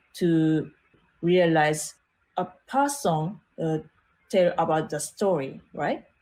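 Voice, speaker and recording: A woman's fairly low, dark and mellow voice at a very slow pace, with lively intonation and long, frequent pauses. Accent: Japanese. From Japan. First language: Japanese. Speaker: art teacher and designer. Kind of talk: interview. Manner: halting, many fillers.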